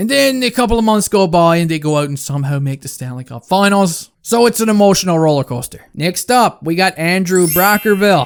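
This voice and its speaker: A man's high-pitched voice at a fairly quick pace with lively intonation. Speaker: hockey fan YouTuber. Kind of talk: casual Q and A chat. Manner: animated.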